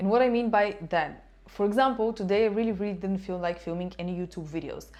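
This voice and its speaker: This woman has a dark, mellow tone at a medium pitch. Her pitch varies in an ordinary way. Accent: Bulgarian. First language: Bulgarian. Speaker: life coach and YouTuber. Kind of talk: talking-head self-help advice.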